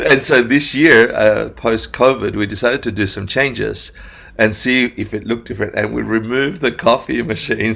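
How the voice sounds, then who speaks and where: Showing vocal fry, a man speaks at medium pitch and a moderate pace in a bright, sharp tone with ordinary pitch variation. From Argentina then Australia from age ten. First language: Spanish. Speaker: meditation teacher. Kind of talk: casual interview chat.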